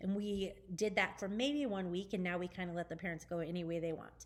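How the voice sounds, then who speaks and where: A woman's medium-pitched voice at a fairly quick pace, with fairly even intonation. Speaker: children's ministry leader. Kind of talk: volunteer briefing video. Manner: fast; casual, chatty.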